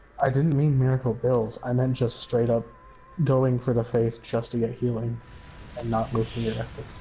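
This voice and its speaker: Music plays in the background as a man speaks at a moderate pace. His medium-pitched voice stays monotone, with flat intonation. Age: 20s. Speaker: gamer streamer. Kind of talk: casual chat.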